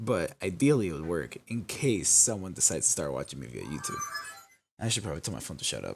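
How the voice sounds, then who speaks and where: A man with a very deep, low pitch, very wide pitch swings, big swings in loudness and a very fast pace, music in the background. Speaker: gaming streamer. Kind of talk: live-stream commentary. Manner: casual, swearing-laden; halting, self-interrupting.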